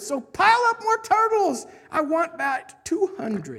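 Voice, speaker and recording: A woman puts on a squeaky character voice, extremely high in pitch with very wide pitch swings, at a fairly slow pace. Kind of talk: royal, commanding. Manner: booming, thundering.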